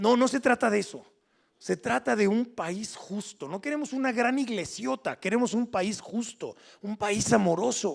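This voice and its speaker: The man's voice is high-pitched, with lively intonation. He talks at a fairly slow pace. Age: 60s. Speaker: preacher. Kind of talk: sermon. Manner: halting.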